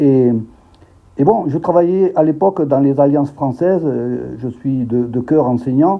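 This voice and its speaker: Pitched in the medium range, a man speaks fairly slowly with ordinary pitch variation. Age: 60s. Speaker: expatriate teacher. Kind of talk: interview. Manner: halting, many repetitions and hesitations.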